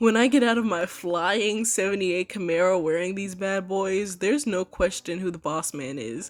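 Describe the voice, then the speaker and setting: Music plays in the background as a woman speaks at a moderate pace and a medium pitch. Her intonation is lively. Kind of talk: reading reviews aloud with commentary. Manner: stuttering, stumbling over words.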